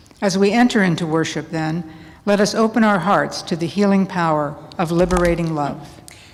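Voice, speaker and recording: There is audible room echo. In it, a woman's voice sits fairly low in pitch. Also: ordinary pitch variation, moderate pace. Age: 70s. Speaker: lay worship leader. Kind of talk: worship service liturgy. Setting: church.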